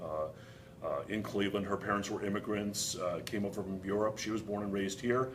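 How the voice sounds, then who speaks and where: A fairly quick pace in a Boston accent, with fairly even intonation and audible room echo. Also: man. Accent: thick Boston. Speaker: distillery founder. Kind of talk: interview.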